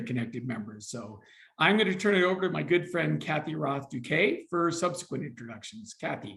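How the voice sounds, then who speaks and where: His voice is fairly high for a man and carries vocal fry. The male speaker's intonation is lively. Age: 60s. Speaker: mental health nonprofit CEO. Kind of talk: panel discussion.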